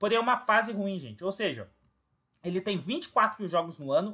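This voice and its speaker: A man's high, bright and sharp voice with ordinary pitch variation. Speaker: football fan commentator, youtuber. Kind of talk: opinion monologue to camera.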